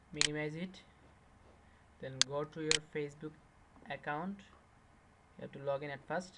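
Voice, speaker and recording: A man's fairly high, bright, sharp voice, monotone and flat, at a moderate pace with long, frequent pauses and big swings in loudness. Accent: non-native. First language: not English. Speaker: tech tutorial youtuber. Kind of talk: screen-recorded tutorial. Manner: halting, many fillers.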